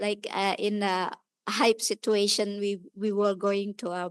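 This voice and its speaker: A woman talks at a medium pitch and a fairly slow pace. The sound is dry and close, with no echo. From Indonesia. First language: Indonesian. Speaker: audience member at a lecture. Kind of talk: audience comment in Q&A. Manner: halting, many fillers.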